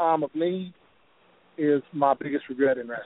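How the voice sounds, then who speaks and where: A man with an Appalachian accent speaks with fairly even intonation. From West Virginia. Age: 40s. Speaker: professional wrestler. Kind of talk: phone interview.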